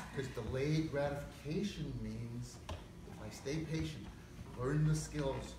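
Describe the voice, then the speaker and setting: Audible room echo and noticeable background noise surround a man speaking at a very slow pace. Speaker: motivational speaker, cancer survivor. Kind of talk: interview. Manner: animated.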